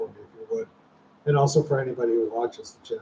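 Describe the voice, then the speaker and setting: This man speaks with an American accent in a fairly high pitch, his tone dark and mellow and somewhat breathy. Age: 60s. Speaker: retiree YouTuber, former hospital software programmer. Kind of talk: casual livestream chat. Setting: livestream at home.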